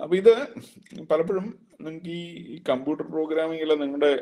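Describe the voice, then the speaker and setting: A man is speaking here. His pitch is fairly high. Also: quiet background. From Kerala, India. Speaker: engineering college principal teaching a workshop; lecturer. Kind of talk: lecture. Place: office. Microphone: video call.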